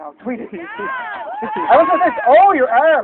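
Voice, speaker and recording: Against crowd noise in the background, a man with an American accent talks with lively intonation. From United States. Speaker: stand-up comedian. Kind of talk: stand-up. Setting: stage with audience. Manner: animated.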